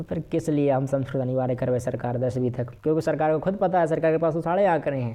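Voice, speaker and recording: A man's fairly high, animated voice with a Bundelkhand accent. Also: ordinary pitch variation. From Bundelkhand, central India. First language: Bundeli (speaking Hindi). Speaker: Sanskrit teacher. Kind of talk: lecture.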